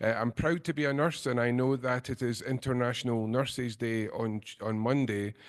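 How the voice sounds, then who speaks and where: At a moderate pace, a man with a Scottish accent talks at medium pitch with fairly even intonation against a quiet background. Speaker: nursing lecturer. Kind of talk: lecture.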